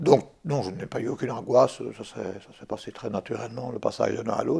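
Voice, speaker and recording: A man's lively intonation at a medium pitch and fairly quick pace. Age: 60s. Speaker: patient, retired French teacher. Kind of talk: testimony. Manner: hesitant, many fillers and repetitions.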